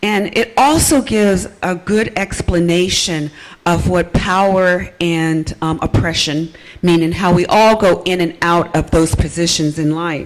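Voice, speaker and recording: There is noticeable background noise as a woman speaks at a fairly slow pace with ordinary pitch variation. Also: fairly low pitch for a woman. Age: 60s. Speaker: nurse midwife and audience member. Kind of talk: audience question at panel. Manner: hesitant, many fillers.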